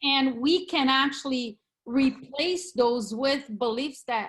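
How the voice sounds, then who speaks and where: With a Brazilian Portuguese accent, a woman speaks very slowly in a high pitch and a confident, passionate tone. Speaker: real estate agent. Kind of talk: video call interview. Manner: confident and passionate.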